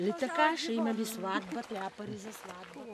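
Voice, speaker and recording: A woman's voice with very wide pitch swings over music in the background. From Breznik region, Bulgaria. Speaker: singer and songwriter. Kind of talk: casual conversation. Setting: outdoors. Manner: lively, expressive storytelling.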